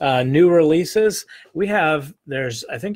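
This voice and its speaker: A man talks in a somewhat breathy voice. Behind him the recording is very clean and the background silent. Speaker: publishing company representative presenting a catalog. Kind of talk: casual product presentation video.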